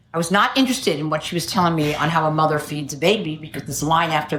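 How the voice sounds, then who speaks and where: Amid audible room echo, a woman with a very deep, low pitch and a somewhat breathy voice talks at a fairly quick pace with ordinary pitch variation. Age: 70s. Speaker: AA speaker. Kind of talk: testimony.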